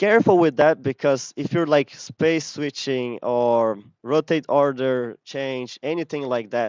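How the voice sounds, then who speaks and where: Against a quiet background, a man with an unremarkable speaking voice talks fairly slowly at a fairly high pitch, using ordinary pitch variation and hardly any pauses, the sound dry and close with no echo. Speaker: game animator giving a talk. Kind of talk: lecture.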